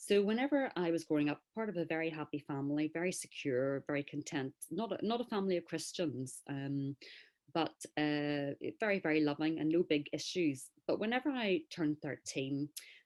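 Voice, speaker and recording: On a very clean recording with a silent background, a woman with a very deep, low pitch speaks with lively intonation. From Northern Ireland, Belfast. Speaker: author and speaker. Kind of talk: interview.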